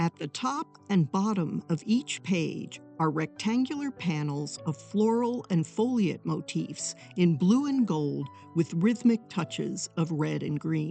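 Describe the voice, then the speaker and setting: Music plays in the background as a woman talks at a very slow pace. Her pitch is fairly low and swings very widely. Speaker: art historian. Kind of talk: documentary narration.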